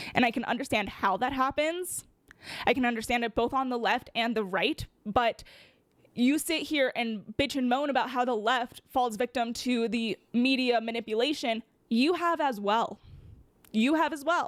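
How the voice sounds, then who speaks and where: A woman with a high pitch and ordinary pitch variation at a moderate pace, in a dry, close sound with no echo and a very clean recording with a silent background. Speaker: political commentator. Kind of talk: commentary monologue. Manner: stuttering; animated.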